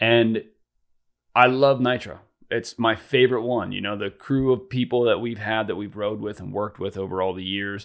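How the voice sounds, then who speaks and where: An ordinary speaking voice comes from a man at a medium pitch and moderate pace. His intonation is fairly even, while his loudness swings widely. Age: 30s. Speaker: freestyle motocross rider. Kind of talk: casual chat.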